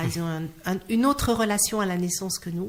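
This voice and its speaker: Speaking at a very fast pace, a woman has a medium pitch and ordinary pitch variation. She talks with a slight Auvergne accent. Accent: slight Clermont-Ferrand (Auvergne). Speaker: clown and singer. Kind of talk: interview. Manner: halting, with repetitions.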